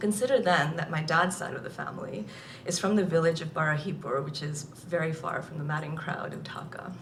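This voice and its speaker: A woman with a fairly low voice talks at a moderate pace with ordinary pitch variation. The room echo is audible and the background noise is noticeable. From Nigeria. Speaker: author. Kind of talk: reading aloud.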